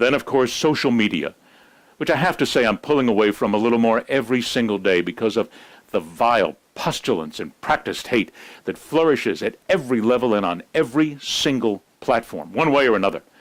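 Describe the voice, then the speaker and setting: Talking at a fairly quick pace with lively intonation, a man has a normal speaking voice at a medium pitch, captured in a very clean recording with a silent background. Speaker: news and sports commentator. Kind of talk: news commentary monologue. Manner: serious, reflective.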